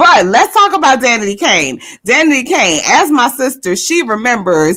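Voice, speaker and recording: With an American accent, a woman with a bright, sharp tone talks fairly slowly, her pitch swinging very widely. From Decatur, Georgia. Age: 40s. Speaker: podcast co-host. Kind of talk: casual chat.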